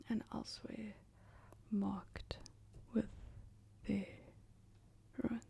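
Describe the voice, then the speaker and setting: A woman whispers in a gentle tone at a very slow pace, leaving long, frequent pauses. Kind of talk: soft ASMR book reading. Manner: soft-spoken, gentle.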